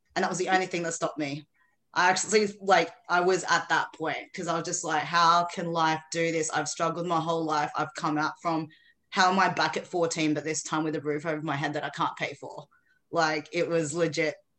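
In an Australian accent, a woman speaks fairly quickly in a fairly low, monotone, flat voice. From Philippines. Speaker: author and mindset coach. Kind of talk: casual interview chat.

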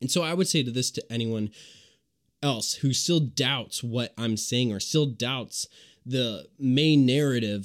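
At a fairly slow pace, a man speaks in an angry tone with a medium pitch and ordinary pitch variation. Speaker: podcast host. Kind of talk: angry political rant, sermon-like denunciation of Hamas. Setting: solo home recording, podcast. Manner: angry, heated, emphatic, condemning; passionate, preachy, sarcastic toward critics.

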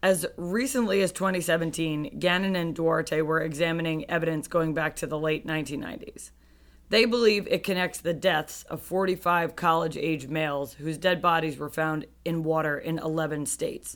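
At a moderate pace, a woman with a fairly low pitch talks in an unremarkable speaking voice, using ordinary pitch variation. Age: 30s. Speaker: true crime podcast co-host. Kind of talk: casual chat; true crime storytelling.

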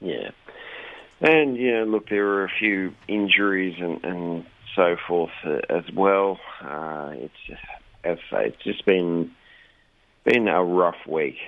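With an Australian accent, a man of very deep, low pitch talks at a very slow pace with long, frequent pauses, ordinary pitch variation and big swings in loudness. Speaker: regular radio contributor, shopkeeper. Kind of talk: casual chat. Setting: phone call from Sydney.

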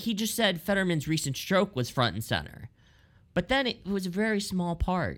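A man with an American accent and lively intonation on a very clean recording with a silent background. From Lancaster, Pennsylvania. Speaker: associate editor, media critic. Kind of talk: casual political commentary.

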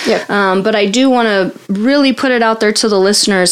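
There is noticeable background noise as a woman speaks at a medium pitch. She talks fairly quickly with fairly even intonation. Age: 30s. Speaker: podcast host, abuse survivor advocate. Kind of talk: casual interview.

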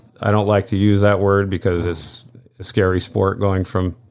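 A man with an American accent uses a normal speaking voice at a fairly low pitch. He keeps a moderate pace on a very clean recording with a silent background. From upstate New York. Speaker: marina owner and water skier. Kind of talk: casual chat.

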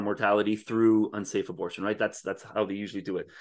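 A man rattles along at a very fast pace with a quiet background behind him. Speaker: podcast co-host. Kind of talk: casual chat. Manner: hesitant, many filler words.

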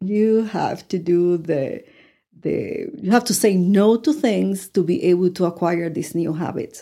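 In a Spanish accent, a woman speaks fairly slowly at a medium pitch with a dark, mellow tone and ordinary pitch variation, on a very clean recording with a silent background. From Puerto Rico. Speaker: life coach. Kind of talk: interview.

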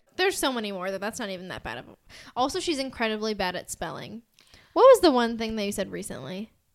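A woman with an American accent, fairly high-pitched and animated, at a very fast pace, with very wide pitch swings and big swings in loudness, in a very clean recording with a silent background. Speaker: podcast host. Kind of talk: casual chat. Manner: animated, giggly.

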